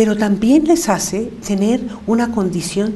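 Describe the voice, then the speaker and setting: A woman's fairly slow, lively-intoned speech, with audible room echo and noticeable background noise. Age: 70s. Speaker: women's rights activist. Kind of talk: interview.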